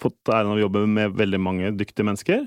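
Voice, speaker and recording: A man's fairly low voice at a very fast pace, with a dry, close sound, no echo and a quiet background. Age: 40s. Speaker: payments manager at a retail company. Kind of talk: interview. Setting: studio.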